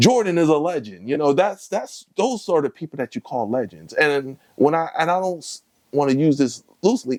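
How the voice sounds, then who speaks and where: In an American accent, a man with a fairly high pitch speaks at a moderate pace, the sound dry and close with no echo on a very clean recording with a silent background. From Connecticut, Bridgeport. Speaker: comedian. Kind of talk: casual chat. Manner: halting.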